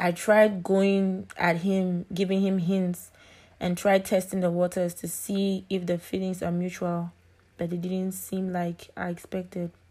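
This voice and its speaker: On a very clean recording with a silent background, a woman speaks at a fairly slow pace with medium pitch and a dark, mellow tone. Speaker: podcast host. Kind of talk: casual monologue.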